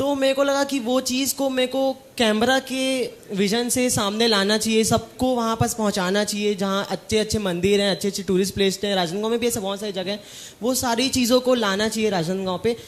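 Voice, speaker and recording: Talking at a moderate pace with hardly any pauses, a man uses a high pitch and fairly even intonation. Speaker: content creator. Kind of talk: interview on stage.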